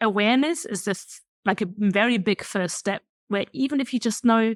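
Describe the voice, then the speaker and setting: On a very clean recording with a silent background, a woman with a German accent speaks at a moderate pace in a fairly high voice with ordinary pitch variation. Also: dry, close sound with no echo. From Germany. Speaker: career coach. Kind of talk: podcast interview.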